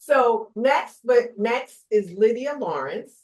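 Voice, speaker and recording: Here is a woman with a New Jersey accent. Her intonation is lively. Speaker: panel moderator. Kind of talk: reading speaker bios aloud; panel moderation.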